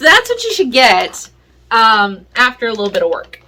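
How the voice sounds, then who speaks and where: With very wide pitch swings, a woman speaks in a raised, projected voice. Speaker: pet owner video creator. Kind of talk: tutorial. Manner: casual, hesitant with many fillers.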